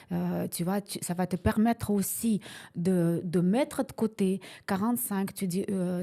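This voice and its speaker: Her voice has a dark, mellow tone at a medium pitch, and this woman speaks at a fairly slow pace with ordinary pitch variation. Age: 60s. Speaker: real estate investor. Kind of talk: interview. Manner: halting.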